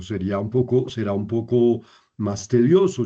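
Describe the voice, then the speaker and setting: Over a quiet background, a man with a dark, mellow tone talks at medium pitch and a fairly slow pace. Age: 70s. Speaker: priest and Bible teacher. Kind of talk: lecture. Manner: halting, many fillers.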